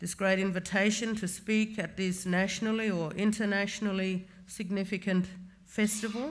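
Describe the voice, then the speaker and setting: A woman talks at a moderate pace. Her medium-pitched voice stays monotone and flat. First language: Bunuba. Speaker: social justice commissioner. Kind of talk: formal keynote speech. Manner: formal.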